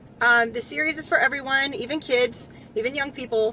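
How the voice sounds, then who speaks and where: Over noticeable background noise, a woman talks at a high pitch and a moderate pace with ordinary pitch variation. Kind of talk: commentary talk to camera.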